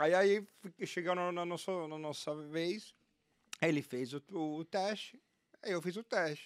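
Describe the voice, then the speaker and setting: Speaking at a fairly slow pace with long, frequent pauses, a man uses a high pitch and ordinary pitch variation in a very clean recording with a silent background. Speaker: ad-tech sales executive. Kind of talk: casual interview chat.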